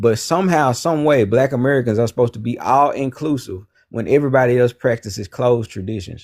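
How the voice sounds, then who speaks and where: A man with a medium pitch talks at a very fast pace with hardly any pauses. His pitch variation is ordinary. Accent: Southern US. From US South, Memphis Tennessee. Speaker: caller. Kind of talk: heated debate.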